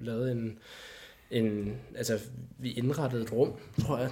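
At a fairly slow pace, a man speaks. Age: 20s. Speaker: filmmaker. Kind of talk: casual chat. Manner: halting.

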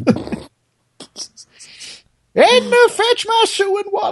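This is a put-on character voice. It sits at an extremely high pitch.

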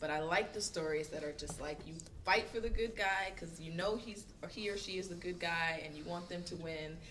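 Over noticeable background noise, a woman with an American accent speaks fairly quickly at a fairly low pitch with ordinary pitch variation. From Florida, near Eatonville. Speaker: nonprofit community affairs director. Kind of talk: casual panel discussion.

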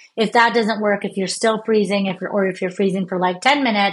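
This is a normal speaking voice with an American accent and fairly even intonation. The background is quiet. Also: woman. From United States. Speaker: neuroscientist. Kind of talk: interview.

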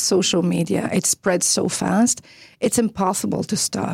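A woman's medium-pitched, somewhat breathy voice with a dark, mellow tone and a Quebec accent, ordinary pitch variation at a moderate pace, in a dry, close sound with no echo. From Quebec, Chicoutimi. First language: French. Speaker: media executive and former journalist. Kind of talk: interview. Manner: hesitant, many fillers.

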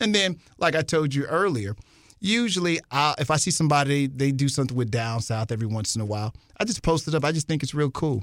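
Against a very clean recording with a silent background, a man with an American accent talks at a very fast pace with fairly high pitch and lively intonation. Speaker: radio host and rapper. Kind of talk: casual interview. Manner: animated.

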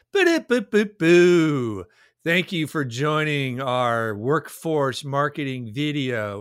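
An ordinary speaking voice from a man at medium pitch, fairly slow pace and lively intonation, on a very clean recording with a silent background. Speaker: marketing executive and podcast host. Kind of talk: casual podcast chat.

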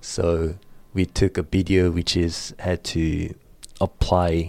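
In a Korean accent, a man speaks at a very slow pace with a very deep, low pitch, a dark, mellow tone and monotone, flat intonation, on a very clean recording with a silent background. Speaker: student and baseball coach. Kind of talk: interview.

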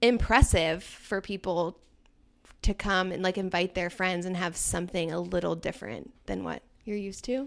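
The recording is very clean with a silent background as a woman speaks at a moderate pace and medium pitch, with ordinary pitch variation and vocal fry. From Germany (American parents), then Virginia. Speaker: event coordinator. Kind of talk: casual chat.

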